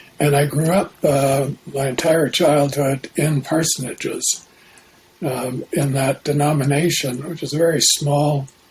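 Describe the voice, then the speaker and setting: With noticeable background noise behind him, a man speaks at a fairly high pitch in a monotone, flat intonation. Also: fairly slow pace. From Canada, Saskatchewan. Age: 70s. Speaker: Jungian analyst. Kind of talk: interview.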